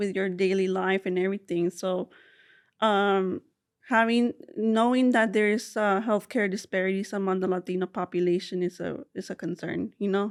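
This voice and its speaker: Recorded dry and close with no echo against a quiet background, a woman speaks at a moderate pace in a medium pitch with fairly even intonation. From South Texas, Rio Grande Valley (McAllen), Mexican family. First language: Spanish. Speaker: social work doctoral student, researcher. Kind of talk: interview. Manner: halting, many fillers.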